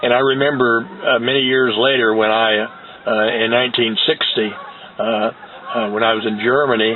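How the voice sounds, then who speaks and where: Over noticeable background noise, a man at a medium pitch speaks at a moderate pace with long, frequent pauses, very even loudness and fairly even intonation. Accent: American. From US Midwest, Indiana. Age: 70s. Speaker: war veteran. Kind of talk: testimony. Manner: halting, many fillers.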